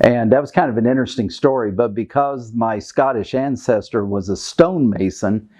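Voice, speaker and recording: A man speaks in a medium pitch with a Kentucky accent. His pitch varies in an ordinary way at a moderate pace. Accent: Kentucky Southern American. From US South, Kentucky. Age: 60s. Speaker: retired diplomat. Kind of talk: oral history interview.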